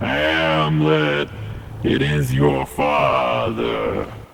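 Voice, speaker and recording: Using a put-on character voice, a man speaks at a very deep, low pitch over clear background noise. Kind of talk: mock-Shakespearean speech mixed with casual talk. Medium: short film.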